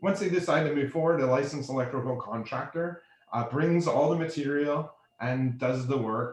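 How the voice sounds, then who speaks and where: This man's voice sits fairly high in pitch and moves with ordinary pitch variation. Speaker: energy efficiency program vendor presenter. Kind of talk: webinar presentation. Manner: fast.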